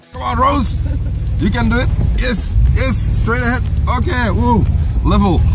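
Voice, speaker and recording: With clear music in the background, a man talks at a moderate pace in a dry sound with no echo. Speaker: driver vlogger. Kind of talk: casual vlog chat. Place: car. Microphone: phone near.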